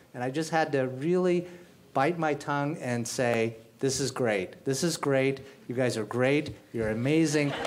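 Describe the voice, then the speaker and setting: At a fairly slow pace, a man of medium pitch talks with ordinary pitch variation against noticeable background noise. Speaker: general counsel. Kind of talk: live panel discussion. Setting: stage with audience.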